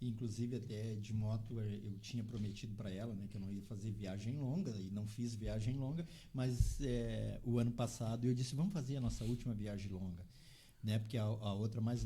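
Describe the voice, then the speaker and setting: Audible room echo surrounds a man whose dark, mellow tone is somewhat breathy, his intonation fairly even. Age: 60s. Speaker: motorcycle traveller. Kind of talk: interview chat.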